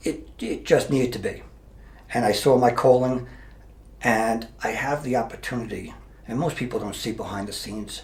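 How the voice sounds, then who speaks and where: A man talks at a moderate pace, stopping often for long pauses. Noticeable background noise and audible room echo surround his voice. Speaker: mayor and retired police officer. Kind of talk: interview. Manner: halting.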